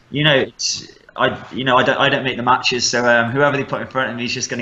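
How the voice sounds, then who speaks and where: The speaker uses monotone, flat intonation with a Midlands accent. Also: man. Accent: Midlands English, mild. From West Midlands, England (Stafford). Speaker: MMA fighter. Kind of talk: casual interview.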